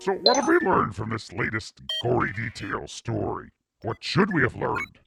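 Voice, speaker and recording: Over music in the background, a man performs a cartoonish character voice at a medium pitch and moderate pace. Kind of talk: kids show host parody. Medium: puppet.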